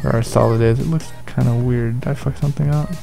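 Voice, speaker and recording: A man's medium-pitched voice comes through with music playing behind it. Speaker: video editor. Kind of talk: screen-recorded software tutorial.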